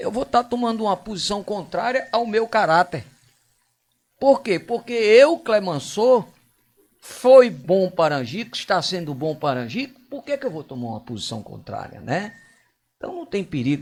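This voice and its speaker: The pitch swings very widely and the loudness rises and falls a great deal. The pace is moderate. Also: man, high pitch for a man. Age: 60s. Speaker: local politician. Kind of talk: radio interview.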